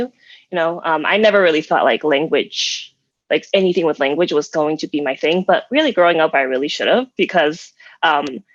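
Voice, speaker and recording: In a Chinese accent, a woman talks at a moderate pace with a very deep, low pitch and ordinary pitch variation, the sound dry and close with no echo. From Chinese American, partly raised in Asia. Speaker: game developer. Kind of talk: panel discussion.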